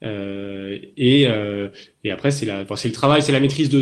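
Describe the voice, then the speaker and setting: Delivered at a moderate pace with ordinary pitch variation, this is an unremarkable speaking voice from a man. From southern France (Toulon). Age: 20s. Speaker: navy officer, mine-clearance diver. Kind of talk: interview in a webinar. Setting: online webinar.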